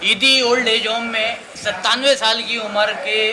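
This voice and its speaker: Over noticeable background noise, a man with high pitch speaks in a raised, projected voice. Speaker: street interviewer. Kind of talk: casual talk to camera.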